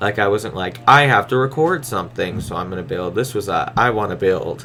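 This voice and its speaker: Noticeable background noise sits under fairly quick speech with ordinary pitch variation. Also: man, fairly low pitch for a man. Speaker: gaming YouTuber. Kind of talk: video game voiceover commentary. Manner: fast; casual, rambling.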